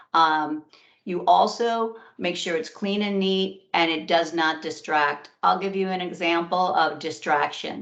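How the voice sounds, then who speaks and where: Using a normal speaking voice, a woman talks at a fairly slow pace with fairly even intonation. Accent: American. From New York. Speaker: career workshop presenter. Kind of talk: webinar presentation.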